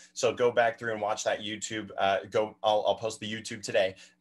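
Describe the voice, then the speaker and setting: A man speaks at a fairly quick pace in a fairly low pitch, his intonation monotone and flat. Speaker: math instructor. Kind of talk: lecture. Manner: fast.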